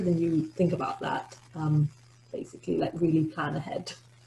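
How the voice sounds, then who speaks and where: A woman's fairly low-pitched voice, an ordinary speaking voice, at a fairly quick pace over light background noise. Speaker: postgraduate scholarship recipient; webinar panelist. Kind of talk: webinar talk about personal experience; webinar advice talk. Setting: video call. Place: home room. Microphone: video call.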